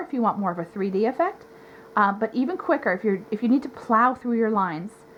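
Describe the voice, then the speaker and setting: Fairly high-pitched speech from a woman, with noticeable background noise behind it. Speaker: face painter. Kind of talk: tutorial. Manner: hesitant, many fillers.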